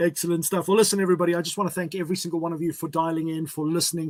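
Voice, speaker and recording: Speaking at a very fast pace, a man with a fairly high pitch keeps a monotone, flat intonation in a dry, close sound with no echo. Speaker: livestream interview host. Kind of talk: live interview show wrap-up. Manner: hesitant, many fillers.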